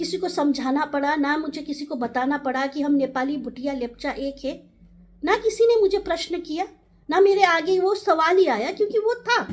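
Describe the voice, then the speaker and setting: A woman with a Nepali accent speaks with lively intonation. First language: Nepali (speaking Hindi). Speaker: community advocate. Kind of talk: direct-to-camera talk.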